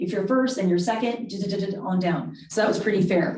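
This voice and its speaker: A woman speaks at a fairly quick pace with ordinary pitch variation. There is audible room echo. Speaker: school board member. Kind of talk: board meeting discussion. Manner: fast.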